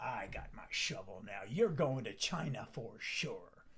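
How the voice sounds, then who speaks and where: A man's growling put-on character voice at a medium pitch and a fairly slow pace. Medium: stage play.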